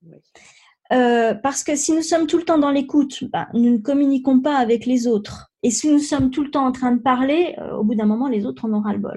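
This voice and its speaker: High-pitched woman's voice with a dark, mellow tone, ordinary pitch variation, moderate pace and big swings in loudness, on a very clean recording with a silent background. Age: 50s. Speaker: life coach, former pharmacist. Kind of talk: interview. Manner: halting, many fillers.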